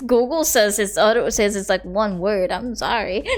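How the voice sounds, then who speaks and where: Over music in the background, a woman with an Indonesian accent talks with ordinary pitch variation. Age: 20s. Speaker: vtuber streamer. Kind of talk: casual language tutoring on stream.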